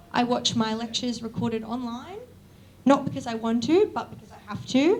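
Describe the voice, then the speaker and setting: A woman with an Australian accent speaks at a fairly high pitch. Room echo is audible in the recording. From Australia, Newcastle NSW. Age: 20s. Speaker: university student, event speaker. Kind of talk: opening speech at public lecture. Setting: lecture event with live audience.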